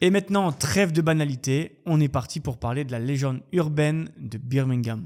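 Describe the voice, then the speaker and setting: A man speaks at a fairly high pitch with ordinary pitch variation. He has a plain, everyday voice. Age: 30s. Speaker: YouTube true crime storyteller. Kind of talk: storytelling narration. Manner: casual, lively.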